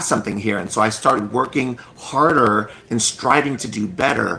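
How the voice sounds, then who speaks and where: Noticeable background noise accompanies a man who talks at a fairly quick pace. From US (immigrant from Cambodia as small child). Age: 50s. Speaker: children's book author. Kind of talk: interview. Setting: live stream video call.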